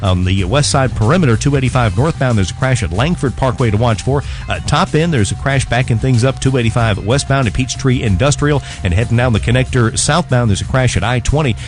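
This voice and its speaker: A man's medium-pitched voice at a very fast clip, with hardly any pauses, very even loudness, lively intonation and music playing behind. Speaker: radio traffic reporter. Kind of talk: radio traffic report. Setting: studio, radio.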